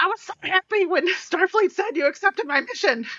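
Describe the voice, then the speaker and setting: A woman puts on a character voice, pitched extremely high and delivered at a fairly quick pace. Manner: put-on character voice.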